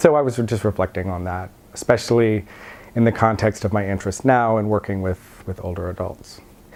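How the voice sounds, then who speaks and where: With an American accent, a man talks at a moderate pace, his medium-pitched voice keeping a fairly even intonation. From Virginia, USA. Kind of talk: oral history interview answer.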